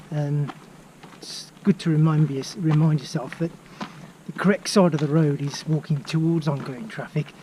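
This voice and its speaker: A man with a Birmingham accent and a fairly high pitch, at a moderate pace with long, frequent pauses, fairly even intonation and noticeable background noise. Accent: Birmingham (Brummie). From England, Birmingham area. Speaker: travel vlogger and walking trip organiser. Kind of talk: casual vlog while walking. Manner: hesitant, with fillers.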